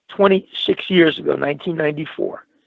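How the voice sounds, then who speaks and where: Here a man with a Brooklyn accent speaks at a moderate pace. His pitch is high, with ordinary pitch variation. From New York, Brooklyn. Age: 60s. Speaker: talk show guest. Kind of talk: casual chat. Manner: animated.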